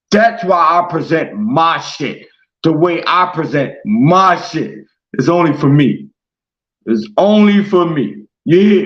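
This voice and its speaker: A man speaks loudly in a high voice. His pace is very slow and his intonation lively. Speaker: internet radio host. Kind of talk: monologue rant. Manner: aggressive.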